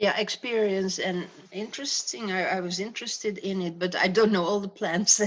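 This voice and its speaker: A woman talks at a moderate pace and medium pitch with fairly even intonation. Noticeable background noise runs underneath. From Netherlands, Breda. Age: 70s. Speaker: grandmother, retired farmer. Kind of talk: casual interview. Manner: halting.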